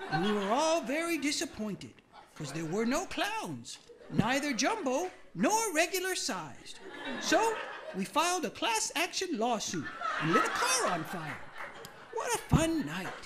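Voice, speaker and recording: A cartoonish character voice speaks in a high pitch at a moderate pace, with long, frequent pauses. Clear background noise sits behind it. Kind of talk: cheerful talk-show host. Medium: puppet show.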